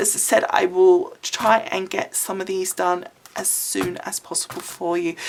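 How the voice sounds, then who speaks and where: The speaker has an English accent. Noticeable background noise runs underneath. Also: woman. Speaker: craft video creator. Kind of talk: casual talk to camera.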